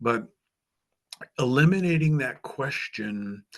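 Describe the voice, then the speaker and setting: A man speaks at a fairly slow pace. His pitch shows ordinary variation. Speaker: author and job interview coach. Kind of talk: presentation.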